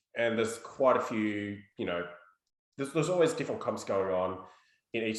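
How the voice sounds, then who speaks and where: There's an Australian accent as a man speaks with ordinary pitch variation. Room echo is audible. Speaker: podcast host. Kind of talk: casual chat.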